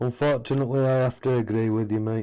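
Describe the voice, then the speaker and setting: A man with a Yorkshire accent. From Yorkshire, Wakefield near Leeds. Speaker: console repair streamer. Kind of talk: live stream casual chat.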